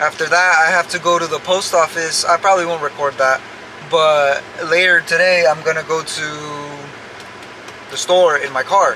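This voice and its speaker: Over noticeable background noise, a man with a high pitch speaks at a moderate pace with fairly even intonation. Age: 20s. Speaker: vlogger and stucco contractor. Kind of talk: casual vlog monologue. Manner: halting, repeats words.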